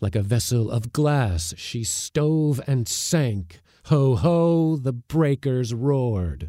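Speaking at a very slow pace, a man uses a medium pitch, a dark, mellow tone, lively intonation, and a dramatic, solemn manner. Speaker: podcast narrator. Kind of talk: reading a narrative poem aloud. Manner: dramatic, lyrical, measured; rhythmic, solemn in the closing lines.

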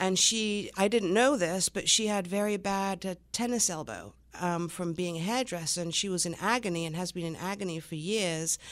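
Speaking with an English accent, a woman at a medium pitch keeps a moderate pace with hardly any pauses and ordinary pitch variation on a very clean recording with a silent background. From England. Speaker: small business owner, former makeup artist. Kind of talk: radio interview.

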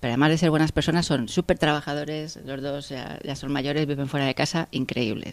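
Fairly quick speech in a very clean recording, the background silent. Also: woman. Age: 50s. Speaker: engineer and factory director. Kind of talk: interview.

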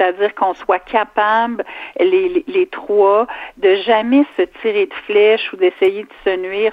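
A woman's mid-pitched voice with ordinary pitch variation, in a Quebec accent. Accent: Québécois French. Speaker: provincial politician. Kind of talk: radio interview.

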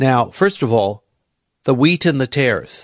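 With an American accent, a man speaks at medium pitch and a fairly slow pace, his pitch swinging very widely. The sound is dry and close with no echo, on a very clean recording with a silent background. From United States. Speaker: Bible teacher. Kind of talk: verse-by-verse Bible teaching. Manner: animated.

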